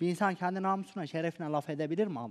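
Against a quiet background, a man speaks in a high voice with fairly even intonation. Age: 20s. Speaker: reality show participant; guest. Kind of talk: emotional testimony. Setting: TV studio. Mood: aggrieved, defensive, emotional. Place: studio. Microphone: headset.

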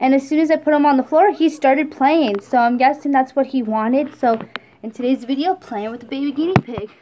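Speech moves at a fairly quick pace over light background noise. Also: woman, high pitch for a woman, ordinary pitch variation. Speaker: pet owner vlogger. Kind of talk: casual vlog chat. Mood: cheerful, affectionate. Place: home room. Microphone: phone near.

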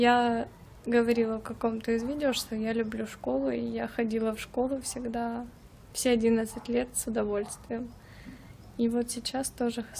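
A woman's dark, mellow tone at a moderate pace, fairly even intonation, and light background noise. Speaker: vlogger. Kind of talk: casual vlog chat. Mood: relaxed, content. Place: garden. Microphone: phone near.

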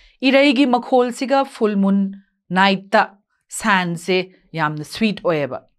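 Against a quiet background, a woman speaks very slowly at medium pitch, her voice swinging very widely up and down. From Manipur, India. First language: Meitei (Manipuri). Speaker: English teacher. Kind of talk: lecture. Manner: formal. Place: studio. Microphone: lapel.

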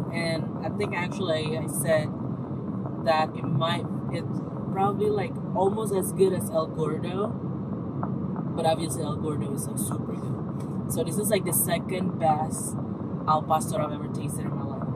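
Long, frequent pauses break up a woman's moderate pace, and her pitch varies in an ordinary way. The sound is dry with no echo, but the background noise is loud. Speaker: food vlogger. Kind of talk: casual review chat. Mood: enthusiastic, relaxed. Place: car. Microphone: phone near.

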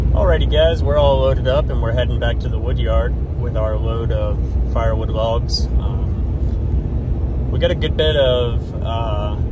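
A man talks at a fairly slow pace over loud background noise, the sound dry with no echo. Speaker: firewood business vlogger. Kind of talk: casual vlog chat. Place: car. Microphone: phone near.

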